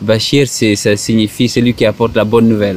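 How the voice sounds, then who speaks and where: Over noticeable background noise, a man talks at a fairly slow pace in a fairly low pitch. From Senegal. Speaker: psychologist. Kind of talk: interview. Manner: halting.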